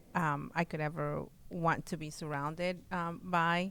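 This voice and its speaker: With a Spanish accent, a woman speaks at a moderate pace and a fairly low pitch in a monotone, flat intonation, recorded very cleanly against a silent background. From Mexico, Oaxaca; moved to US at eleven. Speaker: real estate client, business owner. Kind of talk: interview. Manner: halting, many fillers.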